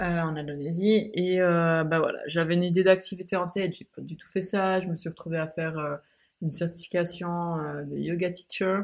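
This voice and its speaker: Over a silent background in a very clean recording, a woman speaks at a moderate pace. Her voice is fairly low, with monotone, flat intonation. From Switzerland. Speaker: podcaster. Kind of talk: casual monologue. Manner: hesitant, many fillers.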